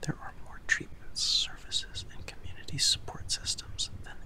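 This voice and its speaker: A man is speaking. He is whispering. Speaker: ASMR and mental health video host. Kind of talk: ASMR whispered educational narration. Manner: whispered, soft, slow. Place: home room. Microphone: studio mic.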